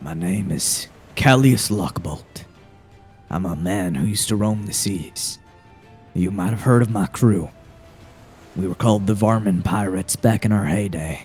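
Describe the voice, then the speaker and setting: A man in a put-on character voice, fairly low-pitched and at a moderate pace, with long, frequent pauses and faint music in the background. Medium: actual play. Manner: dry, matter-of-fact.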